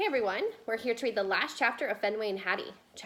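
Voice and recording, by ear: A natural voice reading aloud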